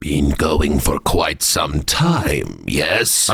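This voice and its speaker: A man speaks in a put-on character voice with a very deep, low pitch. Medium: comedy sketch. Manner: clipped broken phrasing, ending with 'yes?'.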